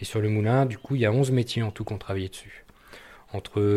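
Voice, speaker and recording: A man's fairly low-pitched voice. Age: 40s. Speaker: artisan vinegar and mustard maker. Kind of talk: interview. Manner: hesitant, many fillers and repetitions.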